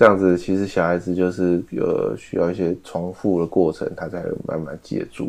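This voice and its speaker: A man with a very deep, low pitch speaks at a moderate pace with hardly any pauses. His intonation stays fairly even against a quiet background. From Taiwan, Taipei. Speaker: podcast co-host. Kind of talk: casual chat.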